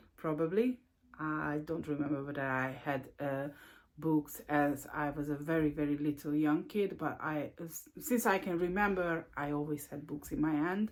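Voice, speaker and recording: A woman with a Hungarian accent and a very deep, low pitch, at a fairly slow pace with ordinary pitch variation. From Hungary. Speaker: book vlogger. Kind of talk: casual video monologue. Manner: halting, many fillers.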